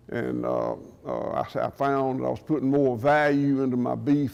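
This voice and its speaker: A man with a strong Southern US accent. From US South, southwest Georgia. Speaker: farmer. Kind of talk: conference talk. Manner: loud.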